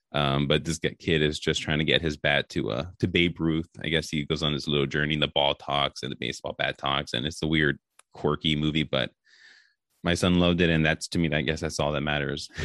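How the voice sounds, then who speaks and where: A man with an American accent speaks at a very deep, low pitch. His intonation is flat and monotone, with vocal fry. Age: 30s. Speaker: sports podcast host. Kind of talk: casual interview chat. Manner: halting, many fillers.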